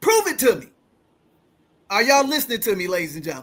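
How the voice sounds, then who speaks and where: A man's raised, projected voice, animated and bright with a sharp tone. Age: 50s. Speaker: money coach and show host. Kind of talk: casual storytelling on a finance show.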